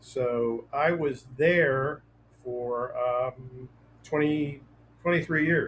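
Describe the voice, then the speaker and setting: A man's medium-pitched, somewhat breathy voice with an American accent and fairly even intonation. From Western Pennsylvania, near Pittsburgh. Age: 70s. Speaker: author and trial attorney. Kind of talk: interview. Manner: hesitant with fillers.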